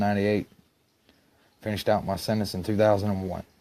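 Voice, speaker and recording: A man with an Alabama accent, fairly low in pitch, dark and mellow in tone, at a very fast pace with monotone, flat intonation. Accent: Southern US (Alabama). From Alabama, Gadsden (US South). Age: 30s. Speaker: stepson of an accuser. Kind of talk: monologue to camera.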